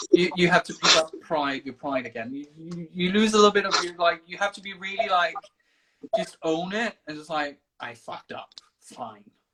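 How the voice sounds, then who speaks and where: With a Danish accent, the speaker talks at a moderate pace. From Denmark. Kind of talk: casual interview. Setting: livestream video call.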